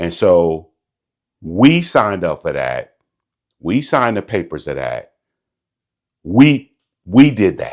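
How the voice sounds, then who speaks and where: A man is speaking. His pitch swings very widely. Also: quiet background. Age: 50s. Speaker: motivational YouTuber, entrepreneur; military veteran. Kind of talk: casual talk to camera. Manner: candid, reflective.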